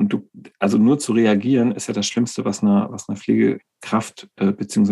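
A man's fairly low, dark and mellow voice at a moderate pace, with fairly even intonation. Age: 40s. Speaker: nursing coach and co-host. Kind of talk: casual chat.

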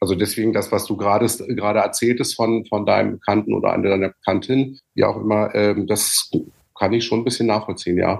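This man has a fairly low pitch and a very fast pace. His intonation is monotone and flat. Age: 50s. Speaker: coach and former musical performer. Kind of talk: casual chat.

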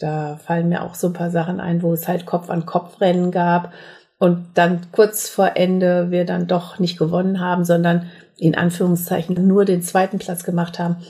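A somewhat breathy woman's voice, fairly low in pitch with a dark, mellow tone, at a moderate pace. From Sauerland, western Germany. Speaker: competitive minigolf player. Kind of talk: interview.

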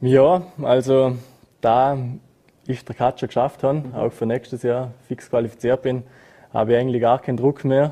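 A man's medium-pitched voice, dark and mellow, at a moderate pace with long, frequent pauses and a flat, monotone delivery. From Austria, Montafon (Vorarlberg). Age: 20s. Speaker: freeride skier. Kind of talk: interview.

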